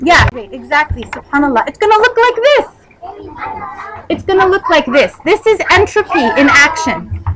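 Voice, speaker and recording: A loud woman with an American accent speaks in an animated tone, her pitch swinging very widely. Noticeable background noise sits behind her. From United States. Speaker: Islamic lecturer. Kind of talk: religious talk to women's gathering. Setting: community event hall.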